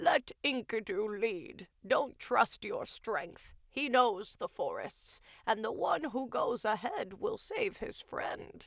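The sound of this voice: A put-on character voice sounds female and high-pitched. It moves at a very slow pace with hardly any pauses.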